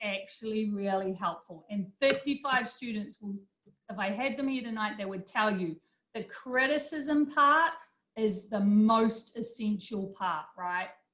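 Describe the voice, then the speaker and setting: Fairly slow and fairly high-pitched, a woman speaks with a New Zealand accent. Her intonation is lively, and her loudness swings a lot. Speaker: business instructor. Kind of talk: lecture.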